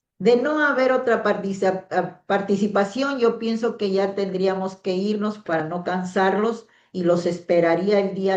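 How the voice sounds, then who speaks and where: A woman with a plain, everyday voice speaks with ordinary pitch variation. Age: 60s. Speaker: teacher. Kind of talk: online class.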